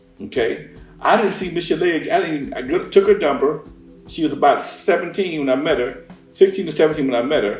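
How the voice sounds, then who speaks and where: A man at a fairly quick pace over background music. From Compton, California. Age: 60s. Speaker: hip hop record producer. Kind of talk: interview. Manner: animated.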